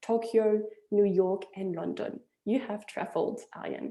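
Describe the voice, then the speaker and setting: A woman talks with a strong French accent. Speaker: webinar host, investment platform founder. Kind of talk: webinar introduction. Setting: online webinar.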